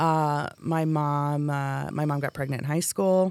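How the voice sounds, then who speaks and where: Here a woman talks at a fairly slow pace, her pitch very deep and low. The recording is very clean, with a silent background. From Hawaii. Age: 40s. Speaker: podcast host. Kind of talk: casual chat. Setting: studio.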